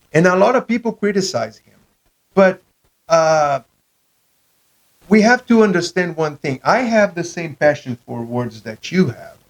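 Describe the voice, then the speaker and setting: A man with a non-native accent and a high pitch speaks at a fairly slow pace with long, frequent pauses, very wide pitch swings and big shifts in loudness, recorded dry and close with no echo. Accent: foreign accent, non-native English. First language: not English. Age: 40s. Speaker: podcast host. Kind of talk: casual chat. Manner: halting, many fillers.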